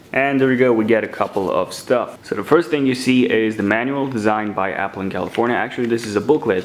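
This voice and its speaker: Speaking at a very fast pace with ordinary pitch variation, a man is heard over noticeable background noise. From Romania. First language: Romanian. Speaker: tech YouTuber. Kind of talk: unboxing tutorial.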